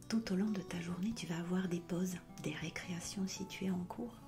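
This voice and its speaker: A woman's medium-pitched voice at a fairly slow pace, with ordinary pitch variation and music in the background. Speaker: hypnotherapist. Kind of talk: soft-spoken ASMR talk to viewer. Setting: background music. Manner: soft-spoken, a little louder and more dynamic than whispering.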